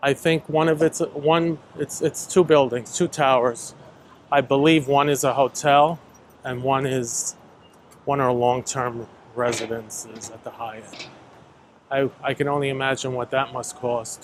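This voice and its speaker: Speaking at a fairly slow pace with a medium pitch and fairly even intonation, a man with an American accent uses a normal speaking voice. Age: 60s. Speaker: YouTube walking vlogger. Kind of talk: casual vlog monologue while walking. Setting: outdoors walking in the city.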